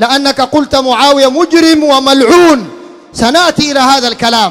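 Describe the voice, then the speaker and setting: The voice is stern, fairly slow, and shows ordinary pitch variation. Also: man, extremely high pitch for a man. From Sudan. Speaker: Islamic preacher. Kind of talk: sermon. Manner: stern, forceful. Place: home room. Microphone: handheld.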